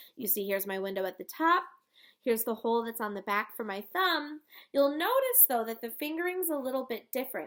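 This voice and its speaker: Woman's high-pitched voice, very wide pitch swings, and a fairly quick pace over a silent background in a very clean recording. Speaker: elementary music teacher. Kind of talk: tutorial. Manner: animated.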